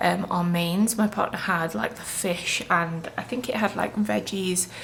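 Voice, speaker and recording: Fairly slow speech from a woman at medium pitch, ordinary pitch variation, noticeable background noise throughout. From England. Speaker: vlogger and food habit coach. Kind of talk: casual vlog talk.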